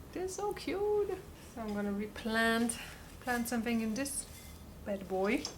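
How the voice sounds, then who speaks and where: With a German accent and a fairly high pitch, a woman speaks with very wide pitch swings and long, frequent pauses, amid audible room echo and noticeable background noise. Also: fairly slow pace. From Germany. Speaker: vlogger. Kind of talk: casual vlog talk. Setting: at home. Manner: animated.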